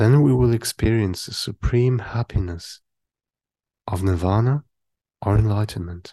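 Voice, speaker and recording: A man with a fairly low pitch talks with lively intonation and a somewhat breathy quality, leaving long, frequent pauses. The sound is dry and close with no echo, over a quiet background. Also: fairly slow pace. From Germany. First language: German. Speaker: Buddhist meditation teacher. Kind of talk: dharma talk.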